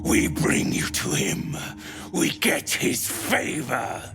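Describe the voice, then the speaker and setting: Over clear background noise, a man puts on a character voice at a medium pitch and speaks at a very slow pace. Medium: video game. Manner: clipped, broken speech.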